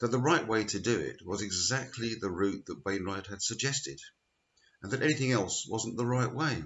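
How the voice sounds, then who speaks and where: Using vocal fry, a man speaks at a medium pitch and a moderate pace. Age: 60s. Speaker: church lay preacher. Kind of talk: spoken reflection. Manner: measured.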